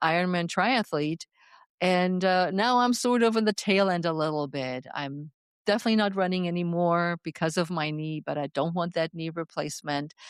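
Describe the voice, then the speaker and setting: A woman speaks at a moderate pace with a slight German accent, her pitch fairly low and its variation ordinary. The sound is dry and close with no echo, on a very clean recording with a silent background. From Germany. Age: 60s. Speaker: fitness coach. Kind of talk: interview.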